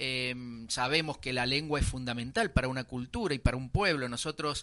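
This man has a bright, sharp tone and a medium pitch. He talks at a moderate pace. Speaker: radio host. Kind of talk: radio history presentation and interview.

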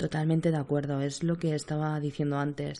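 Her pitch very deep and low, a woman speaks at a moderate pace with a dark, mellow tone and monotone, flat intonation. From Spain, Seville. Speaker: podcast host and nurse. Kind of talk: casual chat.

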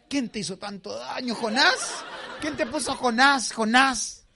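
A man amid noticeable background noise. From southern Chile. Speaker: comedian. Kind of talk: stand-up. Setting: stage with audience. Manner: animated.

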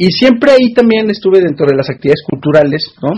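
Speaking at a very fast pace, a man gets his words out. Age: 40s. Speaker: cultural organizer and activist. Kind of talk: interview.

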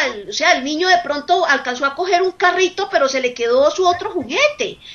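The speaker is a woman. Noticeable background noise can be heard. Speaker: nursing professor and researcher. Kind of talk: radio interview.

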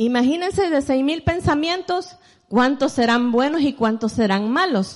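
Her voice sits high, with lively intonation. The woman takes a fairly slow pace. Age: 40s. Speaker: preacher. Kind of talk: sermon.

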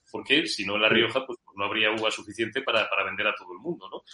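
A man talks at a fairly quick pace. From Spain, Madrid with Zamora family roots. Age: 50s. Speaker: journalist. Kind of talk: interview.

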